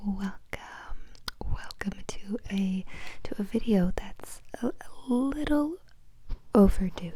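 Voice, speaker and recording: Noticeable background noise behind a woman with ordinary pitch variation. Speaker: ASMR creator. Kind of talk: casual soft-spoken Q&A talk to camera. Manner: soft-spoken, relaxing.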